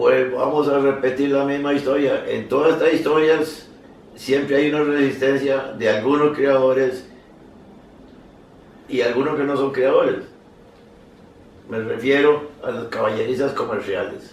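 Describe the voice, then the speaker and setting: Speaking at a fairly slow pace with long, frequent pauses, a man with a fairly high voice keeps a flat, monotone intonation, heard with audible room echo and noticeable background noise. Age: 80s+. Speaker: horse breeder and association veteran. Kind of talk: casual conversation. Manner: halting, repeats words.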